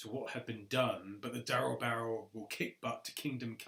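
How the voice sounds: What you hear is a natural reading voice.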